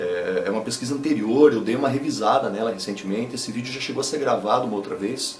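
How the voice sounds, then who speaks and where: Over noticeable background noise, a man talks at a moderate pace and a medium pitch. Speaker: YouTuber and rock musician. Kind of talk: casual talk to camera.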